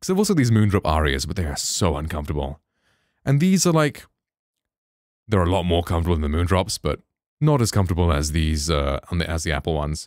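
A man with a very deep, low pitch and ordinary pitch variation talks at a very fast pace broken by long, frequent pauses, in a dry sound with no echo and a quiet background. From England. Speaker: streamer and tech reviewer; streamer, tech reviewer. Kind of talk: tutorial. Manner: animated. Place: home room. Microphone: studio mic.

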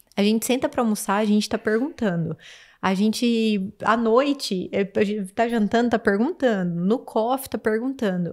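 Against a silent background in a very clean recording, a woman with a normal speaking voice talks at a fairly high pitch and a moderate pace, with ordinary pitch variation and very even loudness. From Campo Grande, Brazil. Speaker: farmer. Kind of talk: casual chat.

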